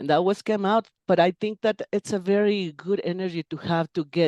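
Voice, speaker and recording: Recorded with a dry, close sound and no echo, a woman speaks at a moderate pace with a Spanish accent, a dark, mellow tone, a medium pitch and ordinary pitch variation. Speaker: interpreter and translator. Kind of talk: interview conversation. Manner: halting with self-corrections.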